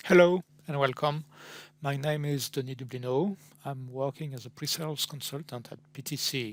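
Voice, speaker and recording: In a very clean recording with a silent background, a man with a French accent speaks at a moderate pace in a fairly high voice, his intonation fairly even but his loudness swinging widely. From France. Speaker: pre-sales technical consultant. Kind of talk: product presentation. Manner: halting, with frequent fillers.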